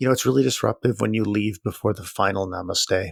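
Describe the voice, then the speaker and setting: In a put-on character voice, a man speaks fairly quickly with a raspy, gentle, soothing tone, fairly low pitch and lively intonation, recorded very cleanly against a silent background with a dry, close sound and no echo. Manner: gentle, soothing, passive-aggressive.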